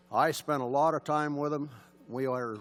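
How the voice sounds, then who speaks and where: A man's voice with music in the background. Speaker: hunter, award introducer. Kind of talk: tribute speech. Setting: banquet hall with audience. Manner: loud.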